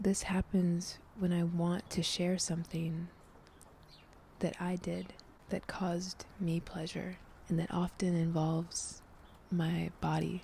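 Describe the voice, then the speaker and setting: The voice is soft-spoken and somewhat breathy, with a dark, mellow, gentle tone. It moves at a very slow pace with monotone, flat intonation. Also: woman. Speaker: tarot reader and ASMR vlogger. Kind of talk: ASMR tarot reading, soft-spoken personal reflection to camera. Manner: soft-spoken, gentle.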